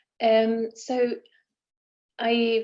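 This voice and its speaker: A woman speaks with an Italian accent at a fairly high pitch. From Italy. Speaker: engineering professor. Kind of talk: online lecture. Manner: hesitant with fillers.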